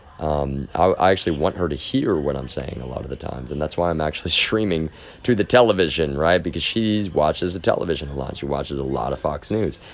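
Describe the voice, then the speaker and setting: The speech runs on with hardly any pauses and lively intonation. Noticeable background noise sits behind it. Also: man, very deep, low pitch for a man. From Texas. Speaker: live streamer. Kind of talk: casual monologue. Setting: live stream. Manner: halting, repetitive.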